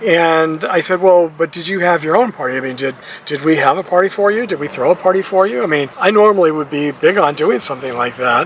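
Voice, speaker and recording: A man's fairly high voice at a very fast pace with hardly any pauses, against noticeable background noise. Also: ordinary pitch variation. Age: 60s. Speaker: retiree vlogger. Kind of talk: casual monologue vlog. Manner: conversational, hesitant restarts.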